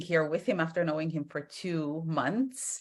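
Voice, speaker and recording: A woman speaks with an Estonian accent at a moderate pace. Her pitch is fairly low, and the background is quiet. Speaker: entrepreneur in hair care. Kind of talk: interview. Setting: video call.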